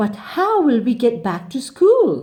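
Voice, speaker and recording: Putting on a character voice, a woman speaks fairly slowly at a fairly high pitch, swinging very widely up and down. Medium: read story.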